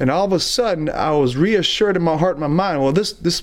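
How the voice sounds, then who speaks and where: This man talks with a Southern US accent at a moderate pace. His intonation is lively. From US South, Alabama. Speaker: traveling evangelist. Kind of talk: testimony.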